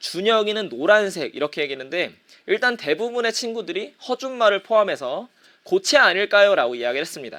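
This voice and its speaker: A man's raised, projected voice, high for a man, with a bright, sharp tone, very wide pitch swings and a fairly quick pace. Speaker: middle school teacher. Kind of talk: online lecture. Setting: live-streamed class broadcast.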